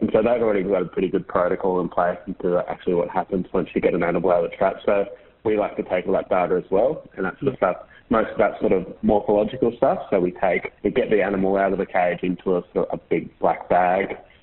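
Talking very rapidly, a man speaks with an Australian accent. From Queensland, Australia. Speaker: PhD researcher in ecology. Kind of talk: interview.

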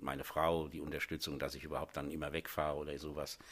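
A man speaks with vocal fry and a very deep, low pitch. His pace is very fast. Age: 60s. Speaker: master plumber and heating engineer, business owner. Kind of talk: interview. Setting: studio. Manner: hesitant, with filler sounds.

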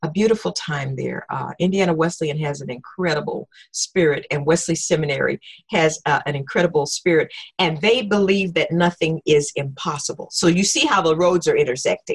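The voice moves at a fairly quick pace, somewhat breathy, with ordinary pitch variation. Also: woman, fairly low pitch for a woman. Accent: American. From Oklahoma, US South. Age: 60s. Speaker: retired professor of spiritual formation and preacher. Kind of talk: casual interview. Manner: halting, with fillers and repetitions.

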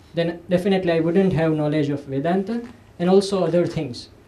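High-pitched for a man, his voice carries an Indian accent and ordinary pitch variation. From Gujarat, India. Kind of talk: personal talk at an academic event. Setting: stage with audience.

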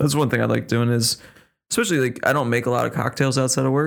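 The recording is very clean, with a silent background. A man talks at a very fast pace. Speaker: podcast guest. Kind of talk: casual chat.

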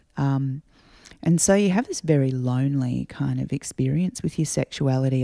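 A woman's very deep, low voice with an Australian accent, dark and mellow in tone, at a moderate pace, in dry, close sound with no echo. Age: 40s. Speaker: singer-songwriter. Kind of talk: casual interview chat. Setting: at home.

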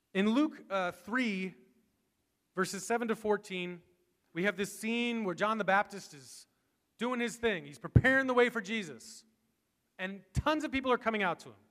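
A high-pitched man at a moderate pace, big swings in loudness, with long, frequent pauses. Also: ordinary pitch variation. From Massachusetts, south shore near Boston. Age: 30s. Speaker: pastor. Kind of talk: sermon. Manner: animated.

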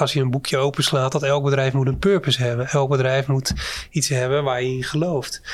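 In a very clean recording with a silent background, a man speaks at a fairly high pitch in a flat, monotone delivery. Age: 50s. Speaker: company CEO. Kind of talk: interview.

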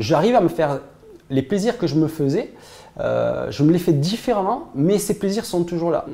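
The speech keeps a moderate pace against noticeable background noise. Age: 40s. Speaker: entrepreneur giving a client testimonial. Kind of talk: testimony. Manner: halting, many hesitations and repetitions.

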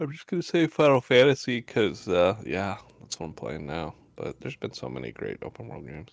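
Vocal fry colors a man's fairly low voice. His pitch swings very widely, and his loudness rises and falls sharply. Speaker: video game podcast co-host. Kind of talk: casual chat. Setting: video call.

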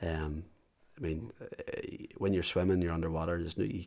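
A man with a Northern Irish accent speaks very fast at a very deep, low pitch in a monotone, flat delivery on a very clean recording with a silent background. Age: 40s. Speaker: business owner and endurance athlete with MS. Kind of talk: interview. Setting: at home.

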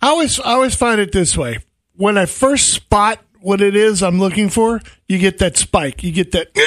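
Recorded very cleanly against a silent background, dry and close with no echo, a man with an American accent and a high pitch speaks at a moderate pace. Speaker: outdoors radio host. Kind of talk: casual chat. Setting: studio.

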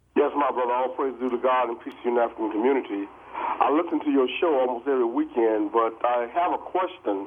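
Over noticeable background noise, a man with a medium pitch and ordinary pitch variation talks at a very fast pace with hardly any pauses. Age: 60s. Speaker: caller. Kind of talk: call-in commentary. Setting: phone call.

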